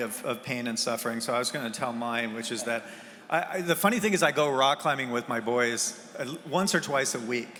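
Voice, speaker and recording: Against noticeable background noise, a man with an American accent speaks at a moderate pace and a medium pitch, with ordinary pitch variation. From US Pacific Northwest (Bellevue, Washington). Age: 60s. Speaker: game industry investor. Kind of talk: conference fireside chat.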